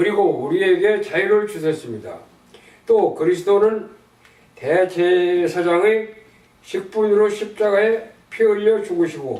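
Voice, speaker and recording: Noticeable background noise sits behind a man with a high pitch. He talks at a fairly slow pace with long, frequent pauses and fairly even intonation. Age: 80s+. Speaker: church member reading gospel tract. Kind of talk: religious text reading with prayer. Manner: slow, careful reading.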